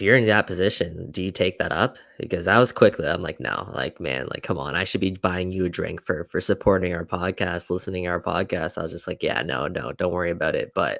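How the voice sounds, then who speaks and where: A man with a very deep, low voice and vocal fry, speaking with hardly any pauses. The recording is very clean and dry, with a silent background and no echo. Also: ordinary pitch variation, fairly quick pace. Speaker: soccer podcast co-host. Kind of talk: casual chat.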